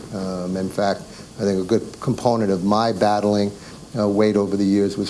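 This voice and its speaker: A man speaks in a fairly low pitch with monotone, flat intonation. Noticeable background noise runs under his voice. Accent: New York. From New York. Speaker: doctor giving a health talk. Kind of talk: educational presentation. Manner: halting, many fillers.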